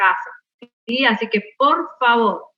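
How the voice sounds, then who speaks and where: Music plays in the background as a woman speaks. Her high pitch shows ordinary variation. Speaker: botany teacher. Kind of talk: online class lecture. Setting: video call. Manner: slow, measured.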